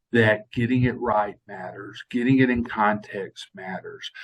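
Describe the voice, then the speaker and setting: A man talks at a fairly slow pace. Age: 60s. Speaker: TV news reporter. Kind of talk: interview.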